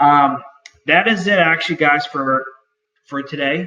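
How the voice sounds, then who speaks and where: At a moderate pace, a man speaks with a Boston accent. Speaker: online store owner and YouTuber. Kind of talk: tutorial. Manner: halting, many fillers.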